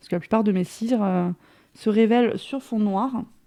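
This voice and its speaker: A woman speaks with a fairly high pitch and a dark, mellow tone. Her pitch varies in an ordinary way. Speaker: crafting youtuber. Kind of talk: product haul and demo. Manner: hesitant, many fillers.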